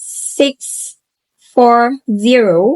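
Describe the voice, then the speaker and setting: A woman's fairly high voice in a dry, close sound with no echo. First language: Indonesian. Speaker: university student. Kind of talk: tutorial presentation. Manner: halting.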